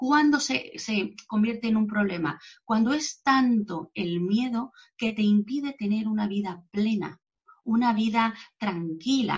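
A woman's fairly high, somewhat breathy voice at a fairly slow pace, with ordinary pitch variation. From Mexico. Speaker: psychologist. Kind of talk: interview. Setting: video call. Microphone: poor connection.

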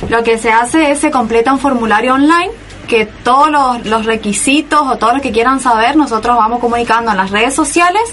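Music plays in the background as a woman talks. Her voice is high and her pace moderate. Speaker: student union representative. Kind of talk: casual interview.

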